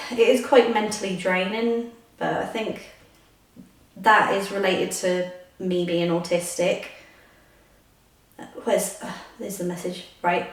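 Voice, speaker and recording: Fairly slow speech from a woman, with long, frequent pauses, big swings in loudness, audible room echo, and noticeable background noise. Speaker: vlogger. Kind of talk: casual vlog chat. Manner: hesitant, many fillers. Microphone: echoey room.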